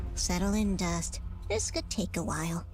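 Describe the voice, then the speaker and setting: A female-sounding, put-on character voice speaks at a moderate pace over clear music in the background. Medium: video game. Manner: sarcastic, quippy.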